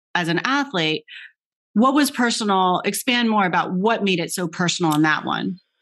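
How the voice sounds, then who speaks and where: A woman with an ordinary speaking voice talks at a moderate pace in a medium pitch, her intonation lively, on a very clean recording with a silent background. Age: 40s. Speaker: podcast host, former tennis player. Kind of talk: interview conversation.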